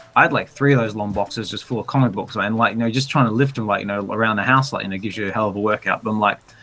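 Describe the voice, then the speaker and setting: With an Australian accent, a man speaks at a very fast pace with hardly any pauses and a fairly low pitch. His intonation is fairly even, and music plays in the background. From Western Australia (Albany). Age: 40s. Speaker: collector. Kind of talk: interview. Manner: halting, many fillers.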